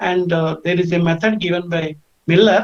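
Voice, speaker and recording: This woman's voice moves through an ordinary amount of pitch variation. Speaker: invited lecturer in physics. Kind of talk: webinar lecture. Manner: halting.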